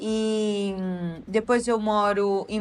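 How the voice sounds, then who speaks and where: A woman with a Goiás accent and a medium pitch. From Brazil, Amazonas, raised in Goiânia. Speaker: university professor. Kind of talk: interview conversation. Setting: podcast recording.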